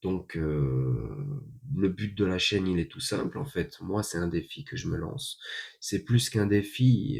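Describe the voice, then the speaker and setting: This man talks at a fairly slow pace. Vocal fry runs through his voice. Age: 30s. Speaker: vlogger. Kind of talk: casual monologue. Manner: hesitant, many fillers.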